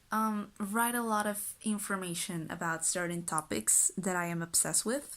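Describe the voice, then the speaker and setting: In a very clean recording with a silent background, a woman with a Spanish accent speaks at a fairly slow pace, with a medium pitch and ordinary pitch variation. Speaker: lifestyle vlogger. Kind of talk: casual vlog talk. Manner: casual, chatty.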